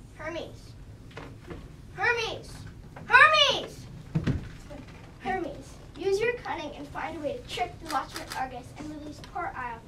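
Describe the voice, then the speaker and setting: A woman speaks in a put-on character voice at a fairly slow pace, with long, frequent pauses, a slight echo and loud background noise. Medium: stage play.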